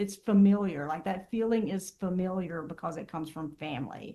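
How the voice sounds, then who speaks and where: In an American accent, a woman with an unremarkable speaking voice talks at a moderate pace and medium pitch with ordinary pitch variation. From Southern US. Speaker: therapist. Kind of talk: interview answer.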